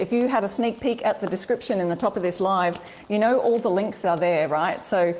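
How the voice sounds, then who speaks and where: A woman with an Australian accent. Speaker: furniture upcycling and craft blogger. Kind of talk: live-stream craft tutorial. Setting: live stream. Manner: chatty, upbeat.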